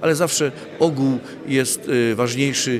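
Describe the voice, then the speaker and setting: Noticeable background noise surrounds the recording. The speaker is a man whose medium pitch varies in an ordinary way. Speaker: village head (mayor). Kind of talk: interview statement. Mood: calm, reflective. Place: hall. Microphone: handheld.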